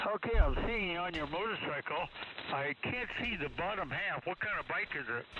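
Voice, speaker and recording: A man speaks with a high pitch and lively intonation. Background noise is noticeable. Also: moderate pace. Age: 70s. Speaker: ham radio operator. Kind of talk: casual chat. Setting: radio contact.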